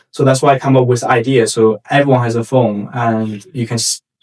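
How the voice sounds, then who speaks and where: A man with a Chinese accent, medium pitch, very fast delivery and fairly even intonation. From China (Shanghai). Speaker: startup founder. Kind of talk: interview. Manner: halting, with frequent repetitions and fillers.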